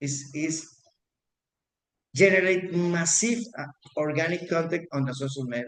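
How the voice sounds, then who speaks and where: This man speaks with a fairly high pitch. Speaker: real estate agent. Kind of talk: class. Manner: halting, many repetitions.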